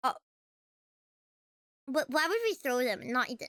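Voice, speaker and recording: In a raised, projected voice, a woman talks at a very fast pace with very wide pitch swings. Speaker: vtuber streamer. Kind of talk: casual livestream chat. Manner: halting, many fillers and restarts; animated.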